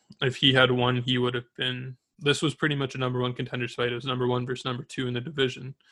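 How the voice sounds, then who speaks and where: Very clean recording with a silent background, featuring a man at medium pitch. His tone is bright and sharp, his intonation monotone and flat. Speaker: podcast host. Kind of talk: solo sports podcast, casual chat.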